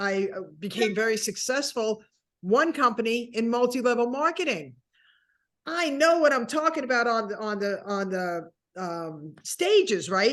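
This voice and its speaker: Her pitch fairly high and swinging very widely, a woman speaks at a fairly slow pace. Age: 60s. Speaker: keynote speaker. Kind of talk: interview answer. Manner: funny, lively.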